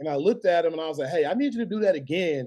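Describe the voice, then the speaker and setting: A man in a Southern US accent, high-pitched with a dark, mellow tone, at a very fast pace. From Alabama (Birmingham). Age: 30s. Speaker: sports videographer and media founder. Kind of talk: interview. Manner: casual, many fillers.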